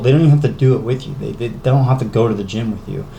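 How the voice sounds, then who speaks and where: Amid noticeable background noise and audible room echo, a man speaks at a medium pitch with fairly even intonation. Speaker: fitness vlogger. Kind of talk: casual vlog talk. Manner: halting, stuttering; rambling, filler-heavy.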